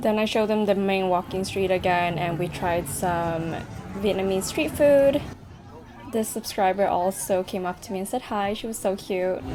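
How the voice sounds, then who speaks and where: Over music in the background, a woman speaks at a moderate pace. Her medium-pitched voice shows ordinary pitch variation. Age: 20s. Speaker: travel vlogger. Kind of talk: vlog voiceover narration.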